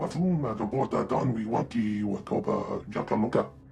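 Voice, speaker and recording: Using a put-on character voice, a man speaks at medium pitch and a moderate pace over clear background noise. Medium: video game. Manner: rapid alien babble.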